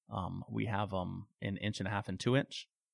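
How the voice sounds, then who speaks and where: A man with an American accent, fairly low pitch, vocal fry and ordinary pitch variation. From Phoenix, Arizona. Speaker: pool equipment sales rep. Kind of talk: casual interview.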